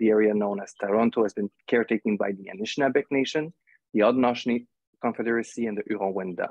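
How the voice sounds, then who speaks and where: Over a quiet background, a man speaks at a very fast pace with a fairly low pitch and fairly even intonation, the sound dry with no echo. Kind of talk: formal introduction. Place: home room. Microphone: earbuds.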